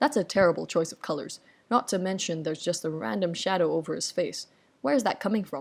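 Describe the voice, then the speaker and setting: An unremarkable speaking voice at a fairly quick pace. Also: woman. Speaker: artist and video essayist. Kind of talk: parody video essay.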